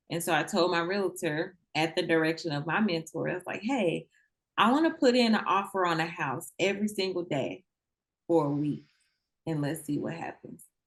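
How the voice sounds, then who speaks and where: At a moderate pace, a woman talks in a fairly low voice with a slight Southern US accent. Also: ordinary pitch variation. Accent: a little country (Southern US). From Mississippi. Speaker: real estate investor. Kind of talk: interview. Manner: casual, conversational.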